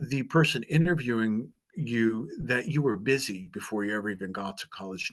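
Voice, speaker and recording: An unremarkable speaking voice comes at a moderate pace with lively intonation. The background is quiet. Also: man. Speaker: author and job interview coach. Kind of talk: presentation.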